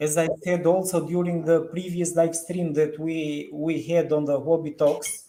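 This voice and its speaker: Using a monotone, flat intonation, a man with a non-native accent speaks at a fairly slow pace in a high-pitched, dark, mellow tone. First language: not English. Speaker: crypto market analyst. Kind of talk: live stream discussion. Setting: online live stream. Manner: halting.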